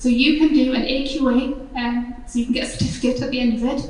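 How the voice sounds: In a room with audible echo, a woman talks fast at a high pitch. Her tone is slightly mellow and her intonation fairly even.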